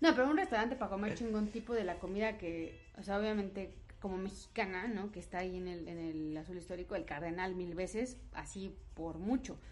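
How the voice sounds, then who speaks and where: Fairly quick, hardly pausing, a woman's medium-pitched voice with ordinary pitch variation over noticeable background noise. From Mexico, Puebla. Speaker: podcast co-host. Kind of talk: casual chat.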